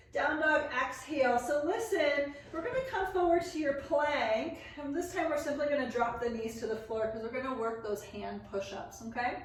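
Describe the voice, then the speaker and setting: A woman's high-pitched voice at a moderate pace, lively in intonation with hardly any pauses, plus audible room echo and noticeable background noise. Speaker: yoga teacher. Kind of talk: guided yoga class instruction.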